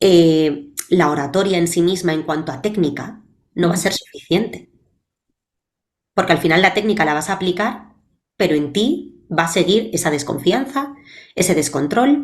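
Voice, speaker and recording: Her voice is fairly low in pitch for a woman, and she speaks at a fairly slow pace with lively intonation and long, frequent pauses. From Spain, Valencia. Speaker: public speaking coach. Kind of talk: interview.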